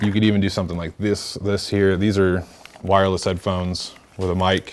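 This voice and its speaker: Moderately paced, a man talks in a very deep, low voice with monotone, flat intonation. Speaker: workshop presenter and podcaster; presenter. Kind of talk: workshop tutorial. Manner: casual, filler-heavy. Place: meeting room.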